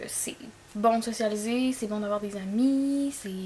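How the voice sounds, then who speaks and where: Noticeable background noise sits behind this woman. She speaks with a Quebec accent at a fairly high pitch. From Sept-Îles, Côte-Nord, Quebec. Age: 20s. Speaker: esthetician and esthetics teacher. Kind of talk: casual talk to camera.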